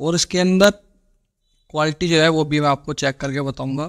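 A man speaks at a fairly slow pace in a fairly high voice, his intonation fairly even against a quiet background. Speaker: tech YouTuber. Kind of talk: tutorial. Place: shop.

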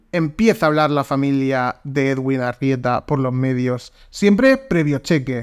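A man speaks in a fairly high pitch with an animated tone and ordinary pitch variation. His pace is fairly slow, with hardly any pauses. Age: 20s. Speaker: podcast host. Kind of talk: casual chat.

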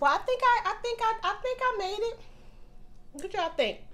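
A woman's extremely high-pitched, animated voice, broken by long, frequent pauses. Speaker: mukbang YouTuber. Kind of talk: casual vlog.

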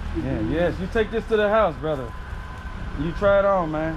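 A man talks at a fairly quick pace with an American accent. There is noticeable background noise. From US South, Memphis, Tennessee; Tennessee. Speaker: content creator. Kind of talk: casual interview; casual chat. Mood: earnest, heartfelt. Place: garden. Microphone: phone near.

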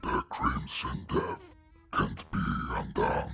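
A man's put-on character voice, growling and menacing, at a very slow pace. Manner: low menacing growl.

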